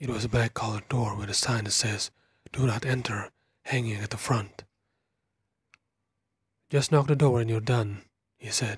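A man's soft-spoken whisper, somewhat breathy, at a moderate pace. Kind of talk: whispered horror story narration, first-person. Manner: whispered, soft-spoken.

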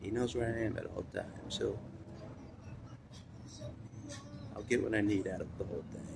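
Noticeable background noise fills the recording. A man speaks through it at a moderate pace. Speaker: vlogger. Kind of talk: casual vlog chat. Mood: reflective, occasionally laughing. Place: street. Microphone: phone near.

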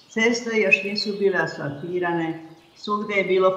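Rather slow female speech with clearly audible background noise. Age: 80s+. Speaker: poet and memoir author. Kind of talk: memoir reading.

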